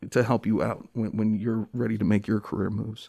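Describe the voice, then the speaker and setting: On a very clean recording with a silent background, a man with an American accent speaks at medium pitch and a moderate pace. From New Jersey (Dover), early childhood in Jamaica. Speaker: law school assistant dean. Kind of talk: casual interview. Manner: halting, many fillers and repetitions.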